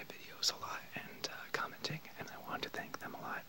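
A soft-spoken man's whisper over noticeable background noise. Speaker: vlogger. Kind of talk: casual vlog chat. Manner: soft-spoken near-whisper, slow and quiet. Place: home room. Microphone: webcam.

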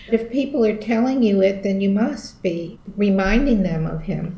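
Somewhat breathy and dark, mellow in tone, the voice moves at a fairly slow pace with ordinary pitch variation and audible room echo. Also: woman. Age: 70s. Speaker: film commentator; interviewee. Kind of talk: casual chat; casual interview answer. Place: home room. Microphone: video call.

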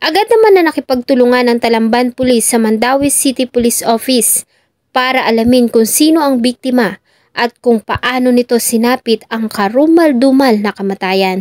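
In a dry, close recording with no echo, a woman with a high pitch talks at a moderate pace with ordinary pitch variation. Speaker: true crime narrator. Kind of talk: true-crime narration. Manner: formal, somber storytelling; measured, polite.

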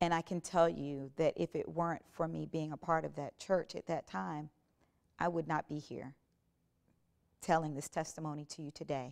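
A woman with an American accent speaks at a moderate pace with long, frequent pauses, a very deep, low pitch and fairly even intonation against a quiet background. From South Carolina. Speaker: gospel worship singer. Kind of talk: testimony. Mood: earnest, reflective. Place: studio. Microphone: lapel.

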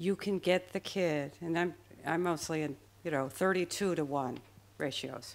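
A woman with an American accent speaks in a fairly low pitch. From US Midwest, Chicago. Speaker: public school teacher. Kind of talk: panel discussion. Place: stage. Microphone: handheld.

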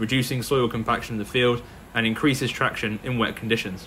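A man speaks at a fairly quick pace in a monotone, flat intonation. Light background noise is present. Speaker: farming video channel host. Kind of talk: documentary narration.

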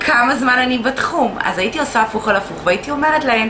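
A woman's voice over noticeable background noise. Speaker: instructor. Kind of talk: casual vlog chat. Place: shop. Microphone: camera far.

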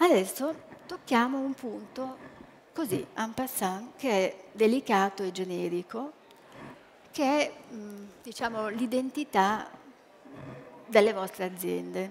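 A woman at a very slow pace, with long, frequent pauses and light background noise. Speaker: psychologist and branding speaker; speaker. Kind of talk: lecture. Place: hall.

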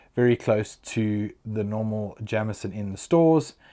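There is a quiet background as a man talks. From South Africa. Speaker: whisky reviewer YouTuber. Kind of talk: product review. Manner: casual, chatty. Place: home room. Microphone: lapel.

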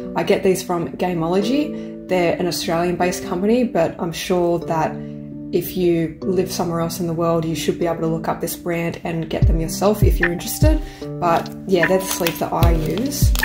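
Clear music sits in the background while a woman talks at a moderate pace. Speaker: card opening vlogger. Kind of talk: casual vlog chat. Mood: excited, cheerful. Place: home room.

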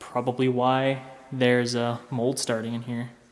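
A man speaks at a very slow pace, with audible room echo around his voice. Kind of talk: casual vlog commentary. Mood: amazed, impressed. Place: home room. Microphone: phone near.

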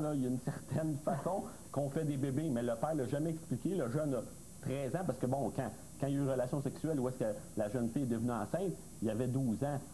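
With light background noise, a man talks at a fairly quick pace using ordinary pitch variation. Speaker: expert panelist. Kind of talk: TV panel discussion. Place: studio. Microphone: lapel.

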